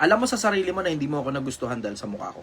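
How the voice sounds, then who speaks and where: A shrill man talks at a very fast pace with lively intonation, and audible room echo can be heard. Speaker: online commentator answering questions. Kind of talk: casual live stream talk. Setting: live stream.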